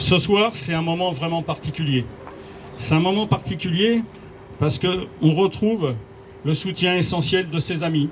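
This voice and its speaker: A man with a high pitch, fairly slow pace, ordinary pitch variation and long, frequent pauses, over noticeable background noise. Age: 60s. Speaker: municipal candidate, retired police officer. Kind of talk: campaign speech. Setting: campaign office inauguration with audience.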